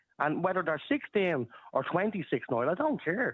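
Fairly high male voice with very wide pitch swings and a Dublin accent. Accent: Irish (Dublin). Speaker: caller. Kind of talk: radio phone-in debate.

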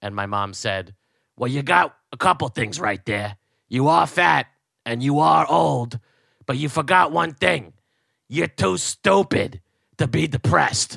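In an American accent, a man of medium pitch talks at a fairly slow pace with very wide pitch swings, a bright, sharp tone, vocal fry and long, frequent pauses, in a dry, close sound with no echo. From New Jersey. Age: 30s. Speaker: podcast host and comedian. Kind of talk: casual chat. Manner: animated.

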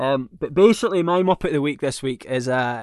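A man speaks with a Scottish accent against a quiet background. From Scotland. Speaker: podcast co-host. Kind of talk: casual chat.

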